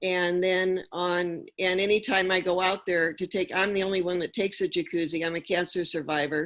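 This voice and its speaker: Very clean and silent in the background, the recording has a woman speaking at a medium pitch. She talks at a moderate pace in a plain, everyday voice. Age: 60s. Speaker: applicant at public hearing. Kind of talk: public hearing testimony.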